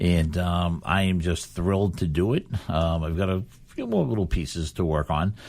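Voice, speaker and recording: Heard on a very clean recording with a silent background, a man with a very deep, low pitch talks at a moderate pace with ordinary pitch variation. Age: 60s. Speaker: local school committee chairman and charity fundraiser. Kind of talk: radio talk show conversation. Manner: casual, filler-heavy.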